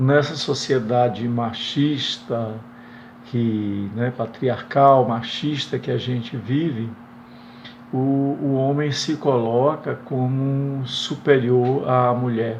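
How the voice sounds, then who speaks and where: Audible room echo surrounds a man who talks at a very slow pace, his medium-pitched voice keeping a fairly even intonation. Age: 60s. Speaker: retired teacher, viewer asking a question. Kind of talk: recorded viewer question. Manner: halting, many hesitations.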